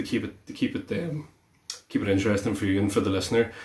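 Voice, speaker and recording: This man's voice sits fairly low in pitch, with noticeable background noise behind him. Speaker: guitar teacher. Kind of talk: tutorial. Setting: live stream. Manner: hesitant, many fillers.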